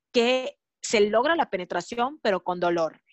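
A woman's normal speaking voice, fairly high in pitch, with lively intonation at a fairly slow pace. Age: 30s. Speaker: sexologist and mother. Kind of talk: podcast interview.

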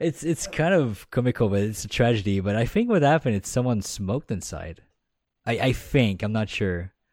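A man speaks with a Quebec accent. His voice sits at a medium pitch, and his intonation is lively. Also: fairly quick pace. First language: French. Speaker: podcast co-host. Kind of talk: casual chat. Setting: remote call. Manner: animated.

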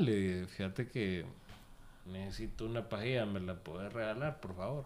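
Pitch variation stays ordinary as the words come out at a fairly slow pace. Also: man. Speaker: podcast co-host. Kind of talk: casual chat.

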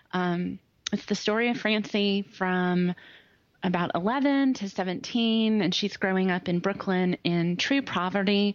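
Very slowly and at very even loudness, a woman at medium pitch speaks with ordinary pitch variation against a quiet background. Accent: Southern US. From US South. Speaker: attorney. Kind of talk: casual interview chat.

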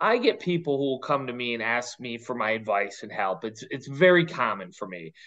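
With a plain, everyday voice, a man talks at a fairly quick pace and medium pitch, his intonation lively. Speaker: podcast co-host. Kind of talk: casual interview chat.

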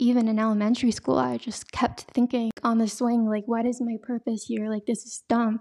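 Fairly quick delivery with hardly any pauses, monotone, flat intonation, and dry, close sound with no echo. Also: woman, fairly high pitch for a woman. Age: 20s. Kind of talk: testimony. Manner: casual, frequent laughs and fillers.

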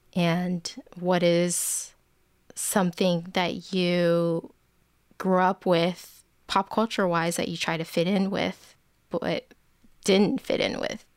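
A very slow delivery with a West Coast US accent, fairly even intonation and long, frequent pauses, on a very clean recording with a silent background. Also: woman, fairly low pitch for a woman. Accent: General American, West Coast. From US, Bay Area, Northern California. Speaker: photographer. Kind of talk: interview conversation.

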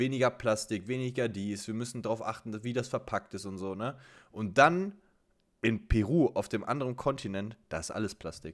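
A man with a normal speaking voice, medium pitch, ordinary pitch variation and a moderate pace. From Germany. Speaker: podcast co-host. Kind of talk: casual chat. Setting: remote call.

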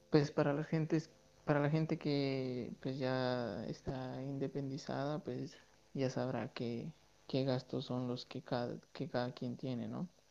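A man's dark, mellow tone at a very slow pace, with fairly even intonation. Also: medium pitch for a man. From Guatemala. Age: 20s. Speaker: student living abroad. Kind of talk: casual interview. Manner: halting.

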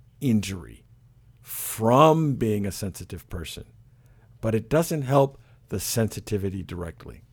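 The voice has a dark, mellow tone and an American accent. It moves at a moderate pace. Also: man. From Michigan, US. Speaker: primary care physician. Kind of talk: interview. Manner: hesitant, many fillers.

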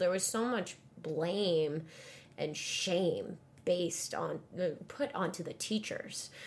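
Speech comes at a slow pace with ordinary pitch variation. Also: woman, fairly low pitch for a woman.

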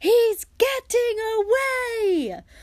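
A woman shouts and bellows in a put-on character voice, extremely high-pitched with a slightly mellow tone, big pitch swings and a very slow pace.

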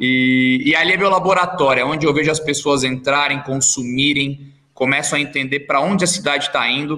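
A man with a normal speaking voice and a fairly high pitch talks at a fairly quick pace with fairly even intonation, very even loudness and hardly any pauses. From Brazil, São José dos Campos (São Paulo state). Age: 30s. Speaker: entrepreneur. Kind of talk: podcast interview.

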